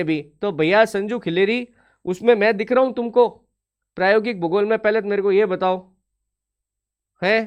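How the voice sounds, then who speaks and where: A man speaks in a stern, angry tone at a high pitch. His intonation stays fairly even. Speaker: online exam-prep teacher. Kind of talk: live online class, talking to students. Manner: stern-sounding, students think he is angry.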